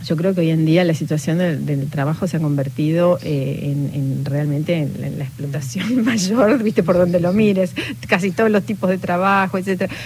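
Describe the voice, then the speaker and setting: A woman's fairly low voice in an Argentine accent, at a moderate pace with ordinary pitch variation and hardly any pauses, against noticeable background noise. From Patagonia, Argentina. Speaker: novelist. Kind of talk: interview. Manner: halting.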